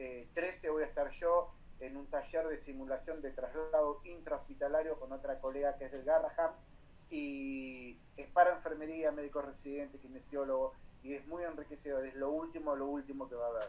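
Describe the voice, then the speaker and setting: Monotone, flat intonation at a moderate pace, with big swings in loudness. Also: man, fairly high pitch for a man. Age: 40s. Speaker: nurse and nursing lecturer. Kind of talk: guest talk to nursing students.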